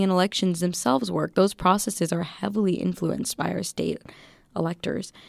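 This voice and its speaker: The recording is very clean, with a silent background. A woman with an American accent speaks at a medium pitch and a fairly quick pace in an unremarkable speaking voice. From US Midwest, Waukesha County, Wisconsin. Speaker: student civic engagement volunteer. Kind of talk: radio interview. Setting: studio.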